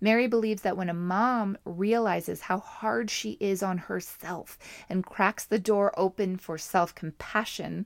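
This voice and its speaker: A woman with a Canadian accent and a normal speaking voice speaks fairly slowly at a medium pitch, with ordinary pitch variation. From Canada, Montreal. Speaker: podcast host. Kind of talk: interview; scripted narration.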